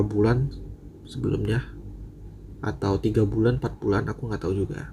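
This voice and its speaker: A man's somewhat breathy, dark, mellow voice at a moderate pace. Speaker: storyteller and short story writer. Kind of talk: casual talk after reading a story. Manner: stumbling, some slips.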